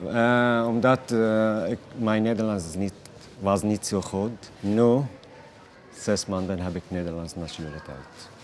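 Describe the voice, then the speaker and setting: A man with fairly low pitch speaks at a very slow pace. His pitch varies in an ordinary way. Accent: Arabic. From Palestinian, lived in Bahrain. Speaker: refugee, shop worker. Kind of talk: interview. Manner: halting, hesitant.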